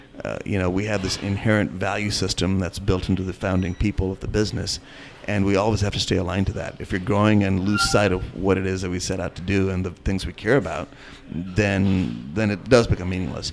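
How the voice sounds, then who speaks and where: A man with a very deep, low voice talks at a fairly quick pace, his intonation fairly even over noticeable background noise. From India. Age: 40s. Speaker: restaurant owner and chef. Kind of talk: interview.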